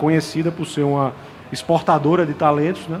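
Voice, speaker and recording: Over noticeable background noise, a man with a fairly high pitch talks at a very fast pace in a monotone, flat intonation. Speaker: industry panelist. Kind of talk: panel discussion. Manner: halting, many repetitions and fillers.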